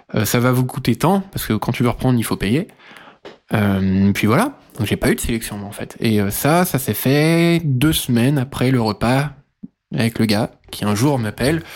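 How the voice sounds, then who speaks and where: A man talks at a fairly slow pace in a medium pitch. His intonation is lively. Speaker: podcast interviewee sharing life story. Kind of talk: personal testimony. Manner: hesitant, many filler sounds.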